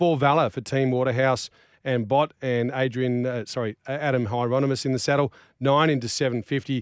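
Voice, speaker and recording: A man with an Australian accent speaks at a medium pitch and a fairly quick pace. The recording is very clean, with a silent background and a dry, close sound with no echo. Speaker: racing show host. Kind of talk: racing preview chat with tipping and odds rundown. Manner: fast, rattling off prices and stats, casual banter.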